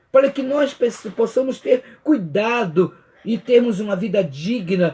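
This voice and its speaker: With ordinary pitch variation, a man talks at a fairly slow pace in a high pitch. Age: 70s. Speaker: Bible study teacher. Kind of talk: Bible study lesson.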